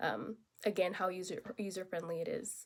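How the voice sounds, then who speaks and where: The woman's tone is dark and mellow. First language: Spanish. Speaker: college student. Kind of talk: self-introduction video. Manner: halting, many fillers.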